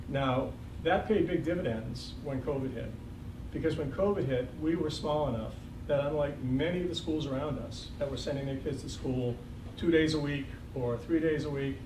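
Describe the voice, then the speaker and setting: A man with an American accent, fairly high in pitch and fairly even in intonation, with audible room echo and noticeable background noise. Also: moderate pace. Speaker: retiring school superintendent. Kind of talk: farewell speech at school board meeting. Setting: school board meeting. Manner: conversational, with fillers.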